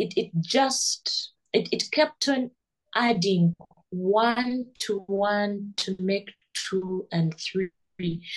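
The sound is dry and close, with no echo. A woman speaks at a medium pitch and a very slow pace. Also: ordinary pitch variation. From Uganda, Kampala. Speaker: immigration lawyer. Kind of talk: interview. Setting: video call. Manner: halting.

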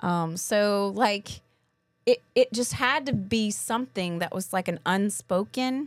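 Speaking at a fairly slow pace, a woman with a slight Southern US accent uses ordinary pitch variation. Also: medium pitch for a woman. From Kentucky, US South. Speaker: podcast co-host, graduate student. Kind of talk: casual podcast chat.

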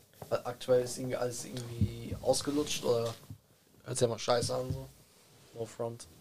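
A man talks at a moderate pace, pausing often and at length. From Germany, Bielefeld. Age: 20s. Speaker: rapper. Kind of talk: casual chat.

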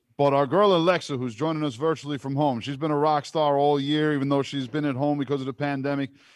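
There is a man with a plain, everyday voice, pitched fairly high, talking at a fairly quick pace on a very clean recording with a silent background. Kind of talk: casual chat. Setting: studio.

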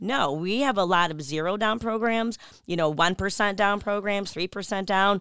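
A plain, everyday voice moves at a fairly quick pace with ordinary pitch variation. The recording is very clean, the background silent. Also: woman. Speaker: mortgage lender. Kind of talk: casual interview on local talk show. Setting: studio.

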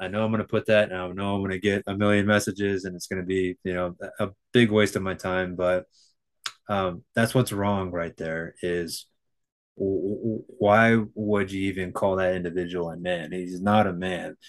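A man with a normal speaking voice talks at a moderate pace against a quiet background. His pitch is fairly low and his intonation fairly even. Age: 30s. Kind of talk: casual interview chat.

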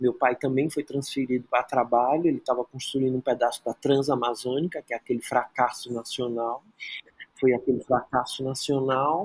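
A man with an unremarkable speaking voice, medium pitch and fairly even intonation at a moderate pace, in a dry, close sound with no echo. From Brazil, Rio de Janeiro (Praia Vermelha), born in Teresina. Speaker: choreographer and dancer. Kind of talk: interview conversation.

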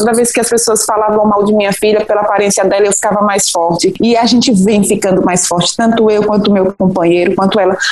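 Noticeable background noise runs under a woman speaking at a fairly quick pace in a fairly high pitch. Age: 40s. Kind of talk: interview, personal testimony.

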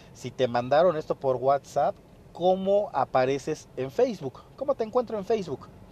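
In a dry, close sound with no echo, a man with a fairly high pitch moves at a moderate pace with very wide pitch swings. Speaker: podcast host, fitness business owner. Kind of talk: solo podcast monologue, business advice. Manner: casual, with many fillers.

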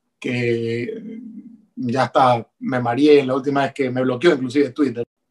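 This man speaks at a fairly slow pace. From Ecuador. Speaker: politician. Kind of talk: interview. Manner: halting.

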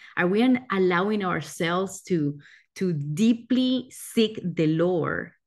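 A woman speaks somewhat breathily with lively intonation. The background is quiet. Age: 30s. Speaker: pastor. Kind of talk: sermon.

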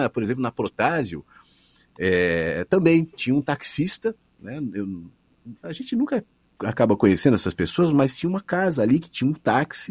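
A man speaks at a fairly high pitch with vocal fry, his pitch swinging very widely. The background is quiet. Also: moderate pace. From Brazil, São Paulo. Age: 40s. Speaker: radio broadcaster. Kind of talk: casual interview.

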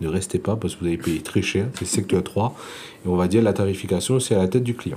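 A man with a Réunion accent speaks in a dark, mellow tone with ordinary pitch variation. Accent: Réunion French accent, noticeable. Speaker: insurance broker. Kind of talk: interview.

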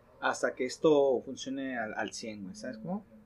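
The voice belongs to a man with a fairly high pitch. The background is quiet. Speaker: podcast host. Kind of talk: casual chat.

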